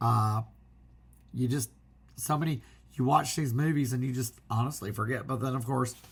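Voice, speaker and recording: Using ordinary pitch variation, a man at a medium pitch talks with vocal fry. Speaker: physical media collector. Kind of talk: casual talk to camera.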